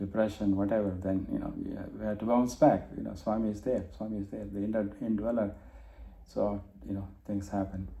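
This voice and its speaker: Audible room echo surrounds a man whose fairly low voice keeps fairly even intonation. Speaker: spiritual study circle leader. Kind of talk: group discussion presentation. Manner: halting, many fillers. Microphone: muffled.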